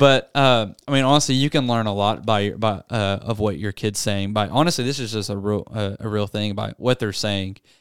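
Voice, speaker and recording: Speaking with a Southern US accent, a man talks at a moderate pace and fairly low pitch with ordinary pitch variation and hardly any pauses, on a very clean recording with a silent background. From US South, Arkansas. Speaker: youth pastor. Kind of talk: casual chat. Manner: animated.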